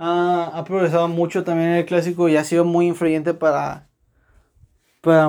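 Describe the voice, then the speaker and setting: A man talks at a high pitch with a dark, mellow tone. His pace is moderate. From Monterrey, Mexico. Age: 20s. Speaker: football podcaster. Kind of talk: solo casual monologue. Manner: hesitant, many fillers and repeats.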